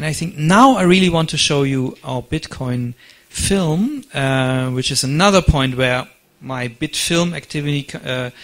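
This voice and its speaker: In a German accent, a man talks at a fairly slow pace with a fairly high pitch. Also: ordinary pitch variation. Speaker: conference speaker. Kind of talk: lecture.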